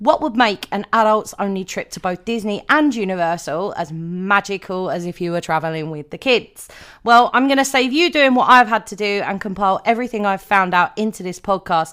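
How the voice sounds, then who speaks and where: Speaking fairly quickly with hardly any pauses, a woman uses lively intonation and big swings in loudness at a medium pitch, on a very clean recording with a silent background. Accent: British. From Britain. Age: 30s. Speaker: podcast host. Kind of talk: podcast monologue.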